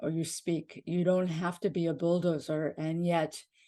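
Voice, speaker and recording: A woman with a Pakistani accent speaks fairly slowly in a fairly low, dark, mellow voice with monotone, flat intonation. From Pakistan, moved to Maine, US at age seven. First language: Urdu. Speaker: podcast co-host. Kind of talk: casual chat. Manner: halting.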